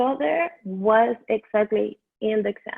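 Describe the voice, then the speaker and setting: A woman of fairly high pitch with a Venezuelan accent. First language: Spanish. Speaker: dental hygiene student. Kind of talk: interview. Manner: halting.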